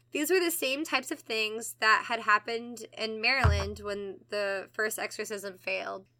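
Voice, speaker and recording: Lively intonation and fairly high pitch in a woman's voice, a plain, everyday voice at a moderate pace. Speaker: podcast host. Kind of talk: casual chat.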